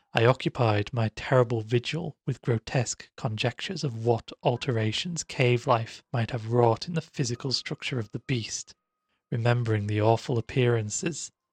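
A man at medium pitch, somewhat breathy, with ordinary pitch variation and a moderate pace, in a dry, close sound with no echo and a quiet background. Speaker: audiobook narrator. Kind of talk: literary audiobook reading of a gothic horror tale, first-person narration. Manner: formal, ornate phrasing delivered with hushed suspense.

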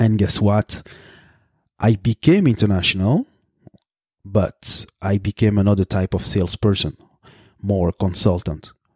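A man with a French accent, fairly low-pitched, fairly slow and with fairly even intonation, pausing long and often. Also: dry, close sound with no echo. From Belgium. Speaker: podcast host, consultant. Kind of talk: solo podcast monologue. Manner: hesitant, with frequent fillers.

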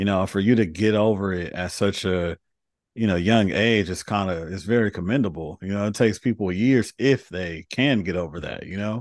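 Fairly low in pitch, a man with an American accent talks in an ordinary speaking voice with ordinary pitch variation at a moderate pace. The sound is dry and close with no echo, over a quiet background. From Los Angeles, US. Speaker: podcast host. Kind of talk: interview conversation.

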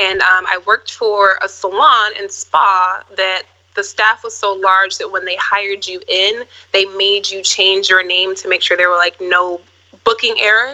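With an American accent, a woman speaks at a fairly slow pace with fairly even intonation. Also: medium pitch for a woman. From Minneapolis, Minnesota. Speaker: actress and model. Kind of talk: casual interview.

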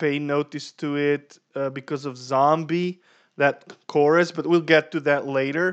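Monotone, flat intonation with a non-native accent. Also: man. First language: not English. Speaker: podcast co-host. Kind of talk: casual chat.

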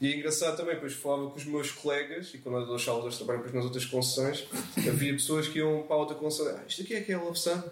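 This man talks at a very fast pace with hardly any pauses, his pitch fairly high and his pitch variation ordinary. Audible room echo and noticeable background noise are present. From Portugal, Azeitão (Setúbal). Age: 20s. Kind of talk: casual interview chat.

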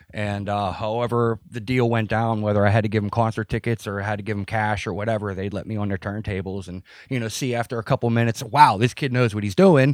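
Recorded very cleanly against a silent background, in a dry, close sound with no echo, a man with an American accent talks at a very fast pace with a fairly low pitch and fairly even intonation. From Pittsburgh, US. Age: 30s. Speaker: maintenance worker and former adult film performer. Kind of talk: casual interview. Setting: at home. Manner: halting.

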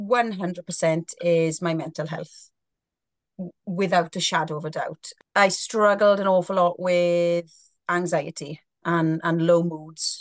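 Speech comes at a very slow pace in a Welsh accent. The sound is dry and close with no echo, over a quiet background. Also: woman, fairly low pitch for a woman. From South Wales. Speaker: guest, sober blogger. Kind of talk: casual interview chat. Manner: loud, talkative.

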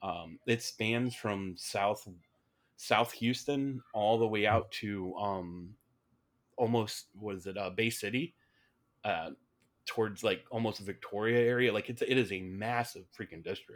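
A man talks fairly slowly in an ordinary speaking voice, fairly low in pitch, with fairly even intonation. The recording is very clean, with a silent background. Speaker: political candidate. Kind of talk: casual interview.

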